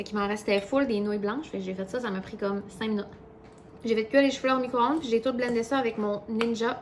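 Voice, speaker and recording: A woman with a Quebec accent, fairly high pitch, ordinary pitch variation and a fairly quick pace, over noticeable background noise. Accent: Québécois French. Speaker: vlogger. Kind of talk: casual vlog chat. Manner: fast.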